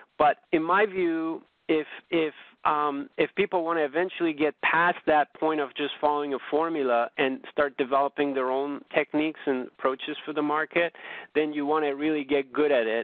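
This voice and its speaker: An unremarkable speaking voice from a man, fairly high in pitch, with fairly even intonation and a moderate pace. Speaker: options trading presenter. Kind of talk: webinar presentation.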